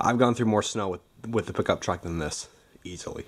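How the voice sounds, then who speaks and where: The man talks at a fairly quick pace. His pitch variation is ordinary. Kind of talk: casual vlog chat. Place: garage. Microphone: phone near.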